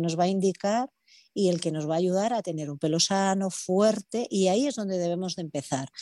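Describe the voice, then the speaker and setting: Lively intonation and a dark, mellow tone from a woman, on a very clean recording with a silent background. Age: 40s. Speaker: hairdresser and salon owner. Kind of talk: casual interview.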